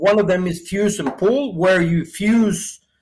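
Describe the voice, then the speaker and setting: A man with a Spanish accent speaks at a fairly slow pace and high pitch, his intonation fairly even. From Venezuela. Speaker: sales manager. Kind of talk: interview.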